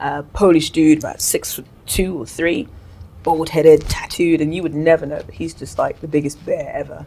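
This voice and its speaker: At a moderate pace, a woman speaks with a very deep, low pitch and a dark, mellow tone. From Cameroon. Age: 30s. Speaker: singer; guest. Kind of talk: interview. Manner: casual. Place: studio.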